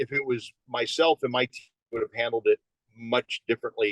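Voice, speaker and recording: A plain, everyday voice with ordinary pitch variation speaks at a moderate pace, recorded in a dry, close sound with no echo. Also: man. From Phoenix, Arizona. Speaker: police veteran and sheriff candidate. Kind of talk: interview answer.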